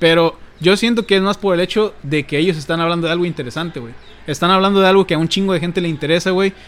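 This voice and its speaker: A man with a high pitch rattles along at a very fast pace, his pitch varying in an ordinary way. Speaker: youtuber and podcast co-host. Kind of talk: casual chat. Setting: home, sitting on a bed at a computer.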